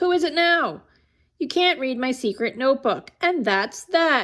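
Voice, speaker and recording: A female-sounding voice speaks at a moderate pace in a high pitch, using a put-on character voice. The recording is very clean, with a silent background. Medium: read story. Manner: fussy, exasperated.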